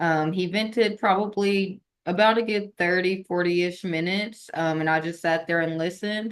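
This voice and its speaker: A woman's unremarkable speaking voice at medium pitch, with fairly even intonation, a moderate pace and hardly any pauses. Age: 20s. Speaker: Army National Guard member and founder of a veteran support platform. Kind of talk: podcast interview.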